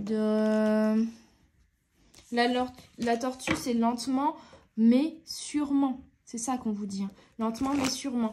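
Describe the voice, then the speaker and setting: Leaving long, frequent pauses, a woman speaks at a very slow pace in a high voice with fairly even intonation. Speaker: tarot card reader. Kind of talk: tarot reading. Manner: hesitant with fillers.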